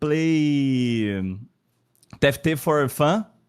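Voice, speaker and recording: Speaking with a non-native accent, a man uses lively intonation at a fairly high pitch. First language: Portuguese. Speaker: esports player. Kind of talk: post-match interview. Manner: halting.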